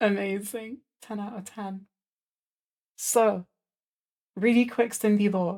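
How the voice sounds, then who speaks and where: A woman with a Welsh accent speaks very slowly in a dark, mellow, relaxed tone at medium pitch, her intonation monotone and flat, with long, frequent pauses and big swings in loudness. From Wales. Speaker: streamer. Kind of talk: casual chat.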